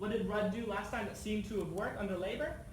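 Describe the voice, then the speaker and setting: A man with an American accent speaks at a high pitch with ordinary variation. Noticeable background noise can be heard. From United States. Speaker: anti-poverty campaigner. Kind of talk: inquiry hearing testimony.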